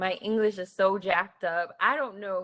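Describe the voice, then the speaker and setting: With an American accent and an ordinary speaking voice, a woman talks at a moderate pace, her medium pitch held in fairly even intonation. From US Northeast, North Philadelphia. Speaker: tech professional, panelist. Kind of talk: panel discussion.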